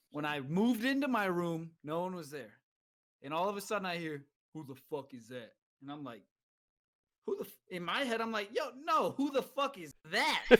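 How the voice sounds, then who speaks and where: A man's high-pitched voice with a slight Southern accent and a bright, sharp tone, at a moderate pace, with very wide pitch swings and long, frequent pauses. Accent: slight southern twang. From California. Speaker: military veteran, podcast co-host. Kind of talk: casual chat.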